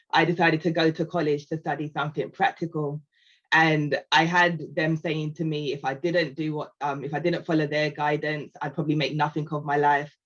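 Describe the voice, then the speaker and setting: Fairly quickly and in a monotone, flat way, a woman with a British accent talks at a very deep, low pitch. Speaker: customer success team lead. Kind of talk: panel discussion.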